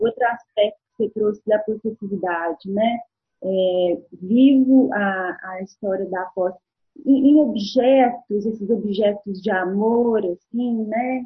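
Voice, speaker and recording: A woman with a fairly high pitch speaks at a very slow pace. Her pitch varies in an ordinary way. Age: 40s. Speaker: guest talking about her zodiac sign. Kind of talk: casual chat. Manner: halting.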